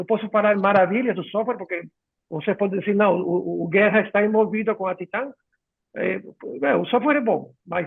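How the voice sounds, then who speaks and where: Someone talks with a Spanish accent. The pace is fairly quick. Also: man. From Ecuador. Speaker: software company clinical director. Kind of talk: live webinar chat. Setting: video call. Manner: halting.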